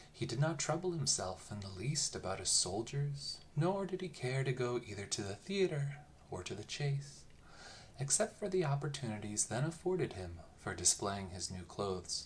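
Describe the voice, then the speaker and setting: Noticeable background noise accompanies speech delivered at a moderate rate. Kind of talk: bedtime story reading, read aloud. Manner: lilting, variable intonation.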